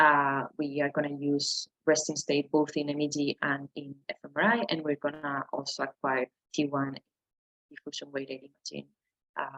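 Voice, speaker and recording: A woman's very deep, low voice at a moderate pace, recorded dry and close with no echo. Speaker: neuroscience researcher. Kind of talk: lecture. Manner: halting.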